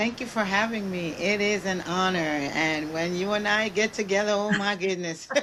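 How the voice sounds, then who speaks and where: A woman speaks at a moderate pace and medium pitch with fairly even intonation, over noticeable background noise. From Jamaica. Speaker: guest speaker on leadership. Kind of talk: casual interview.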